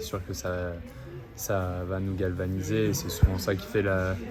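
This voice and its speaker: Over music in the background, a man with a very deep, low voice speaks at a fairly slow pace, and the room echo is audible. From France. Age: 20s. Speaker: table tennis player. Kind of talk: interview.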